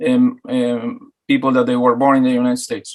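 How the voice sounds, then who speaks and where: With an Argentine accent, a man talks at a moderate pace with ordinary pitch variation. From Argentina, Buenos Aires. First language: Spanish. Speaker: talk show host. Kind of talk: interview.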